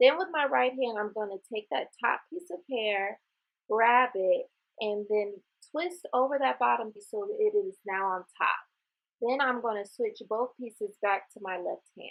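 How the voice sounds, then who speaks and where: A woman's ordinary speaking voice, fairly high in pitch, with lively intonation and a fairly slow pace. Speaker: beauty vlogger. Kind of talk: tutorial.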